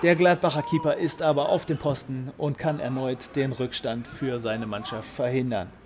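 The speaker has an upbeat tone and a moderate pace, with noticeable background noise behind the voice. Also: man. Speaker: match commentator. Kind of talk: sports commentary. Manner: brisk, upbeat play-by-play; partisan, speaks of 'our boys'.

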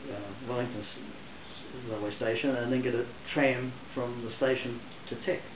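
A man is heard over noticeable background noise. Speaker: interviewee. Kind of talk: interview answer. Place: home room.

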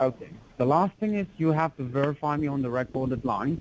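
A man with a plain, everyday voice, medium pitch, ordinary pitch variation and a fairly quick pace. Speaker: phone scammer posing as senior officer. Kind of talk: pressuring scam phone call.

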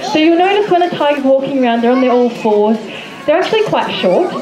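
A woman's high-pitched voice at a very fast pace, over noticeable background noise. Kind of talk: commentary. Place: open country.

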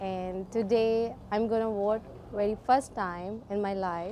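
Speaking at a fairly slow pace, a woman with a Pakistani accent has a fairly high pitch with ordinary variation. Her tone is dark and mellow, over light background noise. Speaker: first-time voter. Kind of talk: interview answer. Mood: excited, earnest. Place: street. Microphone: handheld.

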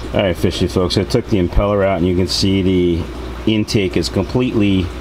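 Against noticeable background noise, a man speaks at a very deep, low pitch. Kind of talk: tutorial. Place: home room.

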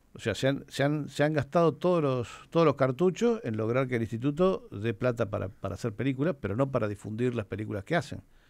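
Lively intonation marks a man's medium-pitched voice with a Rioplatense accent, captured in a very clean recording with a silent background. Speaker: film programmer and author. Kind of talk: radio interview.

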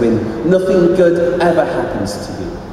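With a British accent, a man speaks in a high register. Strong room echo surrounds him, along with light background noise. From England. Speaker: spoken word poet. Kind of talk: poetry reading at live comedy literary night. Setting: stage with audience. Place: stage. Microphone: camera far.

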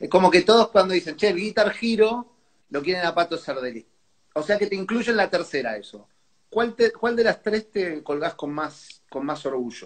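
A man with a high voice and a Rioplatense accent, his intonation lively. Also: moderate pace. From Argentina. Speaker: music show host. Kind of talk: casual interview. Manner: animated. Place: home room. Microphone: earbuds.

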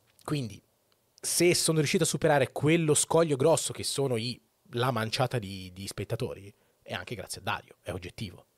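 A man talks at a fairly quick pace with very wide pitch swings and long, frequent pauses, the sound dry with no echo and the background quiet. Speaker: Twitch streamer. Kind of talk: casual monologue opinion. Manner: informal, rambling, profane. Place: home room. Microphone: studio mic.

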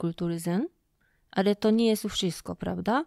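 A woman is recorded very cleanly against a silent background, with a dry, close sound and no echo. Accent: Japanese. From Japan. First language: Japanese (speaking Polish). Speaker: lecturer and festival organizer. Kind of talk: interview. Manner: halting.

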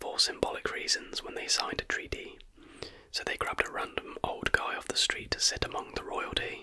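A soft-spoken man whispers at a fairly quick pace. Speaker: history content creator. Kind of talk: casual narration of trivia. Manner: soft close-mic whisper. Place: home room. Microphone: studio mic.

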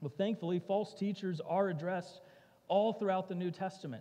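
A man's voice sits at a high pitch and carries a dark, mellow tone. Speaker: preacher. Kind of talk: sermon. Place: church.

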